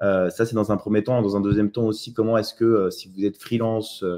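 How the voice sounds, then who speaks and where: Over a quiet background, a man with a fairly low pitch talks at a very fast pace. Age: 30s. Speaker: online entrepreneur. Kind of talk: live webinar presentation. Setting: live online webinar. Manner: hesitant, many fillers.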